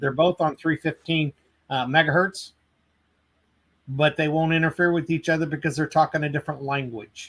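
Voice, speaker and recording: With an American accent, a man speaks at a moderate pace with a fairly high pitch and fairly even intonation, in a dry, close sound with no echo. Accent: Southern US accent noticed in Boston. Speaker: tool company product trainer. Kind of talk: technical interview on live webcast. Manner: frequent fillers and repetitions.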